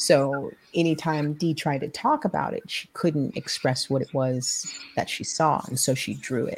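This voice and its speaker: In a very clean recording with a silent background, a woman with an American accent speaks at a very deep, low pitch, somewhat breathy, with ordinary pitch variation. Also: moderate pace. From New York City (Harlem). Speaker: comic book artist and illustrator. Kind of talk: interview.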